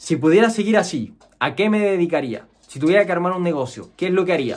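The speaker has a Chilean accent and talks at a moderate pace with ordinary pitch variation. The background is quiet. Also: man. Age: 20s. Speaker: programmer and YouTuber; YouTuber. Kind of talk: personal story monologue; casual vlog chat. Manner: casual with many fillers. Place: home room.

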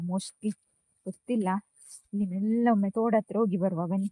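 The dry, close sound with no echo captures a woman of medium pitch whose intonation stays fairly even. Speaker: vlogger. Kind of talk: casual vlog narration.

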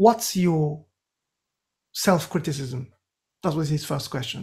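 Against a quiet background, a man with a high pitch and a Japanese accent speaks with ordinary pitch variation. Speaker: composer; podcast guest. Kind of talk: interview. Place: home room. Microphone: webcam.

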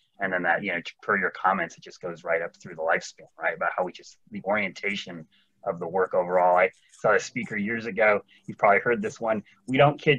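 A man with an American accent speaks at a fairly quick pace with lively intonation. His tone is bright and sharp, with big swings in loudness. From Oregon. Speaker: meeting moderator. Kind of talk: meeting facilitation. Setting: video call. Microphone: video call.

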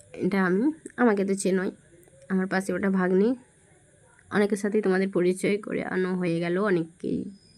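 A woman speaks at a medium pitch with fairly even intonation. Noticeable background noise runs behind her. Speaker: family vlogger. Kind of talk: vlog narration. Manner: casual, conversational.

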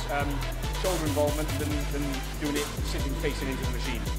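A man at a very fast pace, over loud music in the background. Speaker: bodybuilder vlogger. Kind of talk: casual vlog chat. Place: gym.

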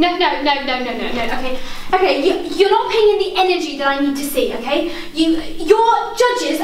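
With audible room echo and light background noise, a woman talks at a fairly quick pace in an extremely high voice with lively intonation. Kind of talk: acted scene dialogue. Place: empty room. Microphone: camera far.

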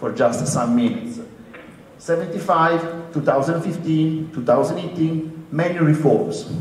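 Echo from the room can be heard around the man's voice. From Europe. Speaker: university lecturer. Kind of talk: panel discussion. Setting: stage with audience.

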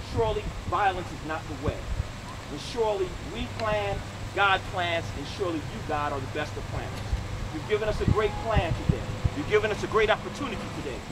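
A man talks at a fairly quick pace, using ordinary pitch variation, while loud background noise plays around him. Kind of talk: prayer. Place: open country.

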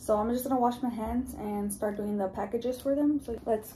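Fairly even intonation marks this woman's speech, heard over light background noise. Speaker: vlogger. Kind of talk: casual vlog chat. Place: home room. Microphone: phone near.

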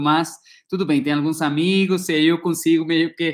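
A man with a Spanish accent speaks at a moderate pace against a quiet background. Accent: Spanish-accented Portuguese, rusty. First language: Spanish (speaking Portuguese). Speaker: ecology researcher, professor; professor. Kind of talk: academic lecture. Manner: halting, many repetitions and fillers. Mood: friendly, relaxed. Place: home room. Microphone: earbuds.

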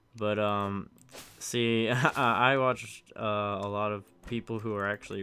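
A man speaks quietly at a fairly low pitch. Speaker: gaming video creator. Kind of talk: let's play commentary. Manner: halting, hesitant.

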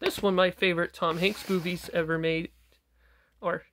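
Light background noise runs beneath speech at a moderate pace. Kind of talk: casual collection showcase commentary. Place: home room. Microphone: phone near.

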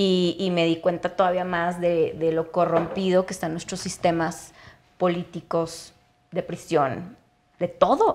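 A woman speaks in a monotone, flat way at a fairly slow pace and a fairly low pitch. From Mexico, Chihuahua. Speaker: cannabis entrepreneur and activist; podcast guest. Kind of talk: interview conversation. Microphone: lapel.

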